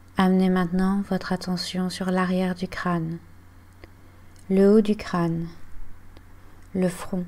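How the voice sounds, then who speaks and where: Calm and soothing, a woman speaks in a dark, mellow tone at a medium pitch with monotone, flat intonation. Her pace is very slow, with long, frequent pauses. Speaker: yoga and meditation guide. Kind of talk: guided relaxation / yoga nidra body scan. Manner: calm, slow, soothing.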